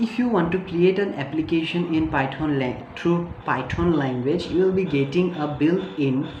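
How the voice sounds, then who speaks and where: Speaking at a fairly slow pace with ordinary pitch variation, a woman is heard over noticeable background noise and audible room echo. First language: not English. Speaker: tech youtuber. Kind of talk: tutorial. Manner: halting, many fillers.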